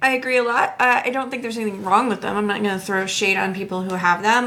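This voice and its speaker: Against noticeable background noise and audible room echo, a woman talks at a very fast pace with a medium pitch and fairly even intonation. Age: 50s. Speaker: podcast co-host. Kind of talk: casual chat.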